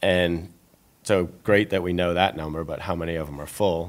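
This man talks at a moderate pace in a very deep, low pitch with monotone, flat intonation. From New England. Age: 50s. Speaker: restaurateur. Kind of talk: interview.

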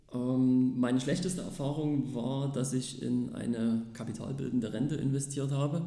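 A man speaks with hardly any pauses, very even loudness and fairly even intonation, amid noticeable background noise and audible room echo. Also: medium pitch for a man, moderate pace. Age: 30s. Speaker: sales representative and property investor. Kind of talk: interview. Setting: office.

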